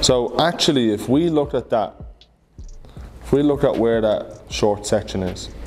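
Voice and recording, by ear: With ordinary pitch variation, a man speaks in a slightly mellow tone.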